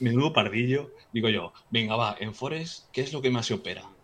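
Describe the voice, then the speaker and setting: A man's voice with ordinary pitch variation. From Galicia, Spain (Vigo). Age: 40s. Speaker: trader. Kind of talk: casual chat. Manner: halting, with frequent repetitions.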